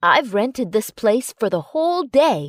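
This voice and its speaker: This put-on character voice growls throughout. Its pitch swings very widely. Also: woman. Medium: read story. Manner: warm, teasing.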